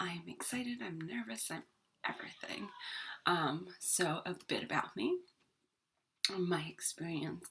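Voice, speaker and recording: Speaking fairly slowly, a woman leaves long, frequent pauses. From New York, born in Ireland. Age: 30s. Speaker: vlogger. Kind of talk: casual personal vlog. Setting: at home. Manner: hesitant, many fillers.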